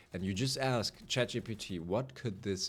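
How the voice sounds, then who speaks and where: Speaking at a very slow pace, a man with a German accent uses ordinary pitch variation. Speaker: gaming youtuber. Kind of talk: unscripted monologue. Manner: rambling, casual.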